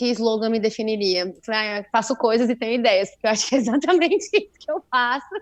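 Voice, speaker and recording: Fairly quick in pace, a woman talks at a fairly high pitch with ordinary pitch variation. Hers is an unremarkable speaking voice. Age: 20s. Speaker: podcast co-host, journalist and DJ. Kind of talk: casual chat.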